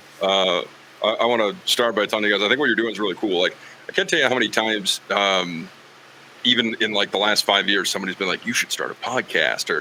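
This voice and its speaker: Very fast and fairly low, a man's voice keeps fairly even intonation. Background noise is noticeable. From Wyoming, Green River. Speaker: football sideline reporter and play-by-play broadcaster. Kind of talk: casual podcast interview. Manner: conversational, many fillers.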